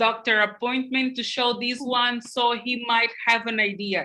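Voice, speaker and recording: A woman speaks with a non-native accent at a fairly high pitch. Her tone is bright and sharp. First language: not English. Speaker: panel moderator. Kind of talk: panel discussion. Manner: halting.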